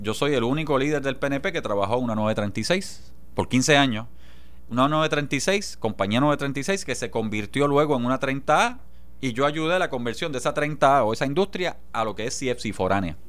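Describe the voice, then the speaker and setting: A man with a Puerto Rican accent speaks at medium pitch and a fairly slow pace, his intonation lively. Room echo is audible. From Puerto Rico, Jayuya. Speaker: politician, legislator. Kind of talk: radio interview, political analysis.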